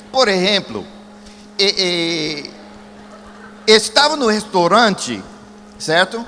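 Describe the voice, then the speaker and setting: Against noticeable background noise, a man projects a raised voice in an animated tone at a fairly slow pace. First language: English (speaking Portuguese). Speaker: evangelist. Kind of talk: sermon.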